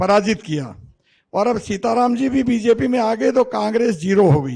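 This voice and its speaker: This man's voice sits at a high pitch. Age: 60s. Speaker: politician. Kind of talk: political speech.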